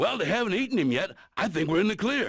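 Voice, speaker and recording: A man's put-on character voice, high-pitched, with very wide pitch swings and a very fast pace. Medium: video game. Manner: deadpan, sardonic.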